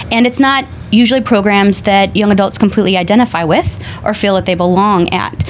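Over noticeable background noise, a woman of medium pitch speaks very fast with ordinary pitch variation. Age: young. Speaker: audiologist. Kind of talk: panel discussion. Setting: studio.

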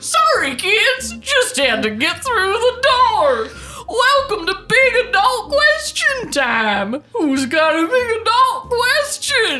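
An extremely high-pitched, put-on character voice talks at a very slow pace with clear background noise behind it. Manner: scary, cheery.

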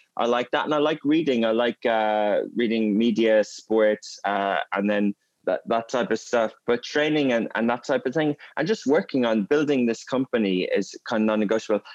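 A man speaks with an Irish accent at a medium pitch, his pitch moving in an ordinary way. His loudness stays very even, and the sound is dry and close with no echo. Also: moderate pace. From Ireland, Gaelic-speaking area. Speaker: media company CEO. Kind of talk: interview conversation.

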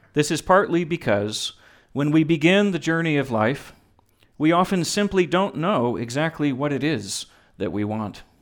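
A man with an unremarkable speaking voice and an American accent talks at a fairly high pitch and a moderate pace, his intonation lively, in a very clean recording with a silent background. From Texas. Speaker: pastor officiating a wedding. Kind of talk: wedding sermon. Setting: wedding ceremony with guests.

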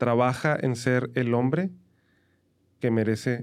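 The very clean recording, with a silent background, captures a man of medium pitch. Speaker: podcast co-host with his wife. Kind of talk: casual chat. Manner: animated.

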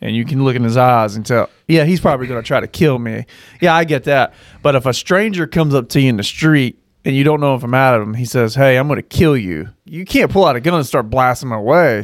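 The recording is very clean, with a silent background. A man with a medium pitch talks at a very fast pace, varying his pitch in an ordinary way. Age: 30s. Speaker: podcast co-host. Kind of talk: casual chat.

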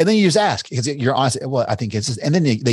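A man speaks with a Kentucky accent. The background is quiet. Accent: Kentucky Southern American. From US South. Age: 40s. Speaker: entrepreneur and investor. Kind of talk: interview. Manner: casual, with frequent fillers and restarts.

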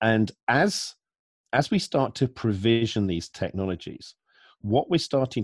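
A man's normal speaking voice, fairly low in pitch, with lively intonation and a fairly slow pace, dry and close with no echo against a quiet background. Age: 40s. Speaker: security analyst. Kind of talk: interview.

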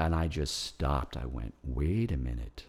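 A man with an American accent speaks at a moderate pace, his voice showing vocal fry. The recording is very clean, with a silent background. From New York. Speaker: composer. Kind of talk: interview conversation. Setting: at his home. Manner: halting, many repetitions.

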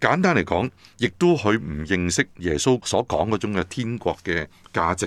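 A man at a moderate pace. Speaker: pastor and seminary head. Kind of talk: interview explaining scripture.

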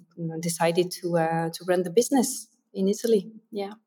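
A woman speaks with a French accent at medium pitch. Her tone is dark and mellow. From France. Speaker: translation company co-founder. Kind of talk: interview.

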